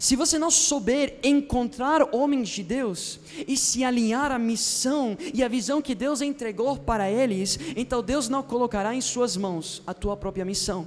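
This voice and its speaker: Over noticeable background noise, a man with an extremely high-pitched voice talks in an animated tone at a fairly slow pace, with ordinary pitch variation. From foreign, not Brazilian. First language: not Portuguese, learned it as adult (speaking Portuguese). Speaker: pastor. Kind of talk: sermon. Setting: church service with live audience.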